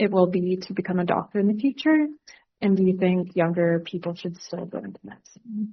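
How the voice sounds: A woman talks at a fairly quick pace with a slightly husky edge. Her pitch is fairly low, with ordinary variation.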